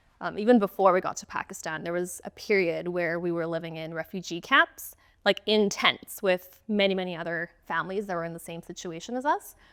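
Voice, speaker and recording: Speaking at a fairly quick pace, a woman with a Canadian accent has a fairly low pitch. Her loudness swings widely. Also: dry, close sound with no echo. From Canada. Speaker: accounting firm owner. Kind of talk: interview. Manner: hesitant, many fillers.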